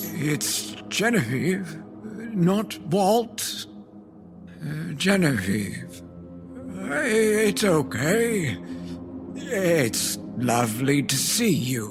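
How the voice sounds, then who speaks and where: A man's put-on character voice at a medium pitch, very slow, with very wide pitch swings and clear music in the background. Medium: audio drama. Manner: stammering, emotional.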